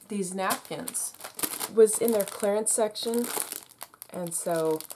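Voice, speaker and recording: Through noticeable background noise, a woman speaks at a very slow pace and a medium pitch with ordinary pitch variation. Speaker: crafting YouTuber. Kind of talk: tutorial.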